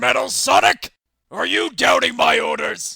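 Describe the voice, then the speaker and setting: A man puts on a raspy character voice. He keeps a moderate pace. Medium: audio drama. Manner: angry, shouting.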